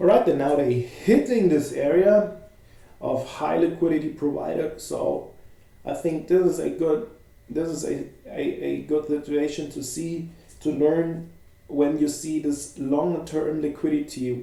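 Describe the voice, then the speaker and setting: A man speaks with a German accent at a fairly high pitch. His pitch varies in an ordinary way, and the room echo is audible. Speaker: futures trading educator. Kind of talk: live market commentary. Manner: halting.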